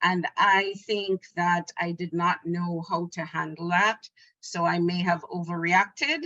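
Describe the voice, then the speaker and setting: A woman's bright, sharp, medium-pitched voice at a fairly slow pace, dry and close with no echo. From Jamaica. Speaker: family peer support specialist. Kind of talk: webinar testimony.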